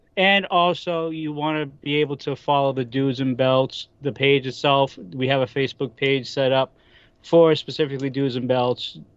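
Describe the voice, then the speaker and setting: A man's fairly high voice with a Boston accent, fairly even intonation and a moderate pace. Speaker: wrestling podcaster. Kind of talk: casual chat.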